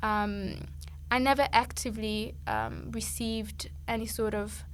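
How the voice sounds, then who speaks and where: Audible room echo surrounds a woman speaking with an Italian accent. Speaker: musician. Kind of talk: podcast interview. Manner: halting.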